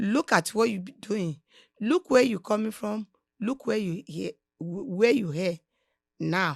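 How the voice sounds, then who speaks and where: On a very clean recording with a silent background and a dry, close sound with no echo, a woman with a Nigerian accent speaks at a medium pitch and a fairly slow pace, with lively intonation and long, frequent pauses. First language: Nigerian language (not English). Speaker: podcast guest, host's mother. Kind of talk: casual interview, motivational advice.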